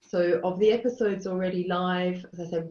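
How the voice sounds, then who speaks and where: A woman speaks with an Australian accent. Her pitch is fairly low and her intonation fairly even. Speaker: charity chief executive. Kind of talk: webinar panel talk.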